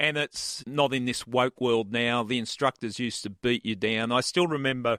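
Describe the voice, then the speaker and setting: A man's medium-pitched voice in an Australian accent, bright and sharp in tone, at a moderate pace on a very clean recording with a silent background. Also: dry, close sound with no echo. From Australia, Sydney. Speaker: retired homicide detective. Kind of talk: interview storytelling.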